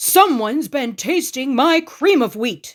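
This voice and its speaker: A woman in a put-on character voice, bellowing at a high pitch at a fairly slow pace. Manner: roaring, angry.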